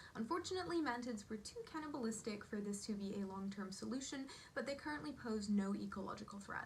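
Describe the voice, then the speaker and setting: A fairly high-pitched woman with an American accent, very fast and lively in intonation, with audible room echo. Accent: switches between British and American. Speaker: entomology video host. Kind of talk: educational vlog narration.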